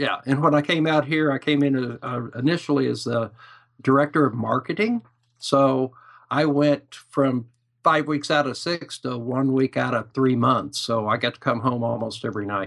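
A man speaks at a moderate pace and medium pitch, with ordinary pitch variation, in an unremarkable speaking voice. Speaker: business owner. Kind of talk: casual interview chat.

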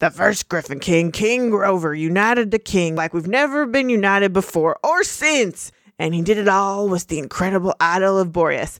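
In a put-on character voice, a high-pitched man talks at a moderate pace with lively intonation and hardly any pauses, on a very clean recording with a silent background. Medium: read story. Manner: grumbling, gruff.

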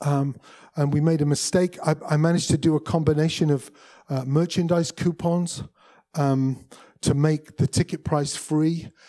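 Dark and mellow in tone, the voice moves at a fairly slow pace with fairly even intonation and an English accent. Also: man. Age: 50s. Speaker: musician and music industry speaker. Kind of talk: presentation.

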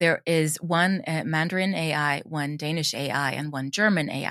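A woman with a Swedish accent and a very deep, low pitch, ordinary pitch variation, and a very clean recording with a silent background. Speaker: audio drama creator and drama teacher. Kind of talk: interview.

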